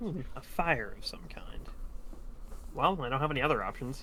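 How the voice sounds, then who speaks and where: Using a put-on character voice, a man speaks at a moderate pace over noticeable background noise. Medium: actual play.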